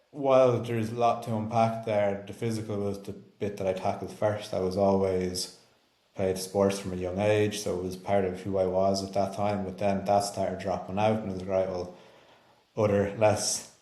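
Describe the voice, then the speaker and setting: A man talks at a moderate pace in a fairly low pitch, his intonation monotone and flat. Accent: Irish. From Ireland. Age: 20s. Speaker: health and performance coach. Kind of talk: casual podcast talk.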